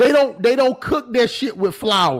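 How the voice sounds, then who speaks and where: A loud, animated man with an American accent and an extremely high pitch, showing ordinary pitch variation. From US South. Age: 20s. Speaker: YouTube commentator. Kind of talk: livestream commentary reading chat comments.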